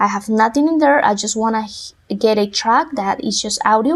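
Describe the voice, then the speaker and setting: A woman with a Spanish accent at a fairly slow pace, her intonation lively. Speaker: music production tutor. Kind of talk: tutorial.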